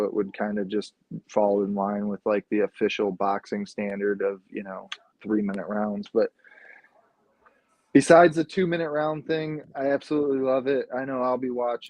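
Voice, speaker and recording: This man mumbles. His pace is moderate. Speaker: podcast co-host. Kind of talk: casual chat. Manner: mumbling.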